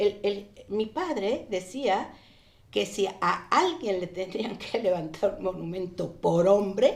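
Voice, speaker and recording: Against noticeable background noise, a woman talks at a very slow pace with lively intonation. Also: medium pitch for a woman. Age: 70s. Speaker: daughter of a revolutionary general. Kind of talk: interview. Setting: studio. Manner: halting.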